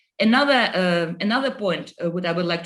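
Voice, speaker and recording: Speaking with a Russian accent, a woman with a medium pitch keeps a moderate pace. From Estonia. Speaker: politician. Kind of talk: panel discussion. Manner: halting.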